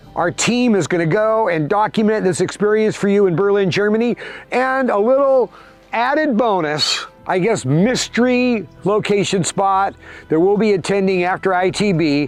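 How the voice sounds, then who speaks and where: With music playing behind him, a man in a high voice speaks at a moderate pace, his loudness very even and his pitch varying in an ordinary way. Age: 70s. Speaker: entrepreneur. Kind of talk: casual talk to camera. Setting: outdoors.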